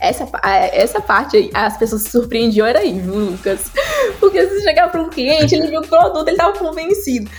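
A woman's extremely high voice at a fairly quick pace, with very wide pitch swings and big swings in loudness, music in the background. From Goiás, Brazil (Goiânia). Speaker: entrepreneur and career specialist. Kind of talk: interview.

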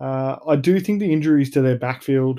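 A man with a dark, mellow, medium-pitched voice and an Australian accent, on a very clean recording with a silent background. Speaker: sports podcast host. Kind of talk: solo podcast monologue. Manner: hesitant, many fillers and repeats.

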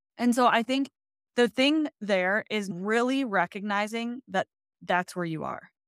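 A woman with an American accent speaks in a plain, everyday voice. It is fairly high in pitch, with ordinary pitch variation. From Michigan, US Midwest. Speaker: dietitian. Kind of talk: casual interview chat.

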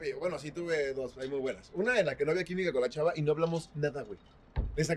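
This is a man with a Mexican accent. His pitch is high. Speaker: podcast co-host. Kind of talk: casual chat.

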